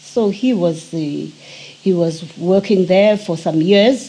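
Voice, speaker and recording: Against noticeable background noise, a woman speaks very slowly at medium pitch with ordinary pitch variation. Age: 80s+. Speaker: interviewee recounting family history. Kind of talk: oral history interview. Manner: halting, with frequent hesitations.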